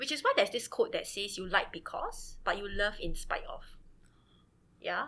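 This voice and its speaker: Moderate pace with a Singaporean accent. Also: woman. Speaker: teacher. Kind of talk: casual chat.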